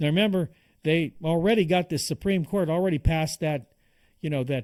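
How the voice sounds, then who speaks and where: A dark, mellow tone with ordinary pitch variation, recorded dry and close with no echo, in a very clean recording with a silent background. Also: man. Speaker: political commentator. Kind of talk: political commentary monologue. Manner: fast; animated.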